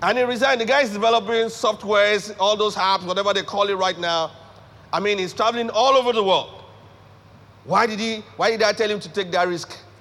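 A high-pitched man with a Nigerian accent, animated in tone, at a fairly quick pace. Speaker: pastor and leadership speaker. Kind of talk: sermon. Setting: church with live congregation.

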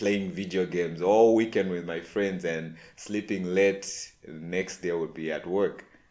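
In a very clean recording with a silent background, a man talks at a moderate pace and fairly low pitch. He has an unremarkable speaking voice with ordinary pitch variation. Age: 30s. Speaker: podcast host. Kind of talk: personal reflection monologue.

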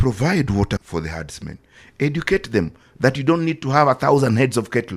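On a very clean recording with a silent background, a man with vocal fry and medium pitch talks at a fairly quick pace, his pitch swinging very widely. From Kenya. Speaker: security journalist. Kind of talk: casual chat.

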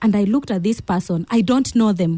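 A woman with a Kenyan accent talks at a fairly quick pace in a somewhat breathy, dark and mellow tone, recorded dry and close with no echo. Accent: Kenyan English, Kamba. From Kitui, Kenya. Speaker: pastor. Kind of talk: interview, testimony. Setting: studio. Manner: animated, laughs often.

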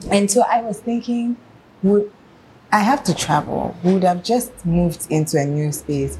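Lively intonation carries the speech at a moderate pace, with noticeable background noise behind it. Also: woman, medium pitch for a woman. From Ghana, Accra. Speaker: fashion designer and brand founder. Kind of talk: casual interview chat.

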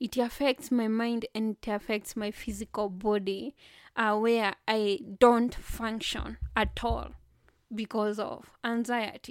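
Delivered at a very slow pace, the speech sounds dry and close with no echo, on a very clean recording with a silent background. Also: woman, fairly high pitch for a woman, fairly even intonation. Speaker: podcaster and poet. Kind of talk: solo podcast monologue, anniversary reflection. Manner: informal, warm, halting with fillers.

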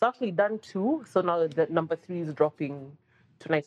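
A woman speaks at a fairly low pitch with ordinary pitch variation. Her pace is very fast. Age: 40s. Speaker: journalist and content creator. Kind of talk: casual chat.

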